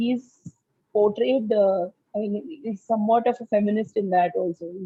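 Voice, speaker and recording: With a Tamil accent, a woman speaks at medium pitch and fairly even intonation. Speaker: book club member. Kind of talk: casual discussion. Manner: halting, many fillers.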